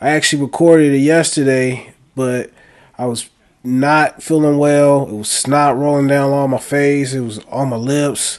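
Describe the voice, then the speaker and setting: Speaking at a moderate pace, a man with a fairly high-pitched voice delivers his words in a flat monotone. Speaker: sports betting youtuber. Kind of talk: casual monologue recap. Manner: halting, repetitive.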